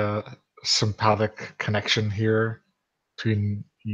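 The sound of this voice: An unforced reading voice is heard, with the background quiet.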